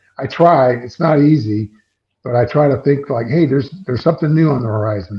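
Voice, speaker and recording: Speaking with an American accent, a man uses a medium pitch, ordinary pitch variation and a somewhat breathy sound. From US Midwest (central Illinois, near Peoria). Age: 60s. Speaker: drummer. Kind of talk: interview. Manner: animated.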